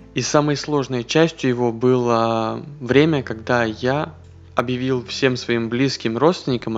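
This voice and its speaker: This is a man with a plain, everyday voice. His pitch is medium, with ordinary variation. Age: 20s. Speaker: podcast host, former ship officer. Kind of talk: solo monologue podcast. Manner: casual, conversational.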